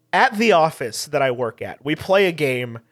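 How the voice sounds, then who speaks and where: With an American accent, this is a plain, everyday voice carried by lively intonation. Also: man. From Texas Hill Country. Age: 20s. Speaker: podcast guest, fellow podcaster. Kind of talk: casual chat. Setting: video call.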